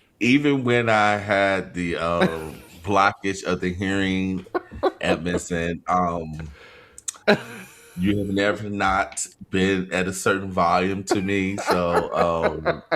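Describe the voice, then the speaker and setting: A man's very deep, low voice at a very slow pace with fairly even intonation, over noticeable background noise. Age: 40s. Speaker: podcast co-host. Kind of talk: casual chat.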